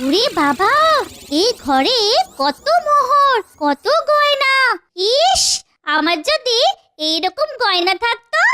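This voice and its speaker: A cartoonish character voice sits at an extremely high pitch with very wide pitch swings. The tone is playful and the pace fairly slow. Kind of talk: cartoon comic voice. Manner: playful, teasing, sing-song.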